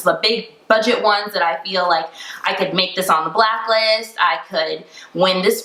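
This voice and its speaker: A moderate pace and lively intonation amid noticeable background noise. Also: woman. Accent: American. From Tampa, Florida. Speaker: screenwriter, actress, director and producer. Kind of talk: interview answer.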